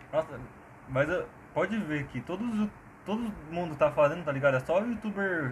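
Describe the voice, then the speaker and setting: A man talks at a fairly quick pace with long, frequent pauses, his pitch fairly high. Noticeable background noise runs underneath. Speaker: podcast co-host. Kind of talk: casual chat. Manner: animated. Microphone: cheap Samsung earphone mic.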